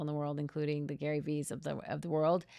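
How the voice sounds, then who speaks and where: With an American accent, a woman talks at a fairly quick pace in a very deep, low voice against a quiet background. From US Midwest, Minnesota. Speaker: communications and personal branding consultant. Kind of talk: podcast interview, personal story.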